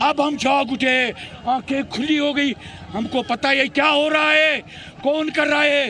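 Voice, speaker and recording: Against noticeable background noise, a man uses a raised, projected voice with an extremely high pitch, very even loudness and fairly even intonation. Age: 60s. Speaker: protester. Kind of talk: street interview. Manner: impassioned.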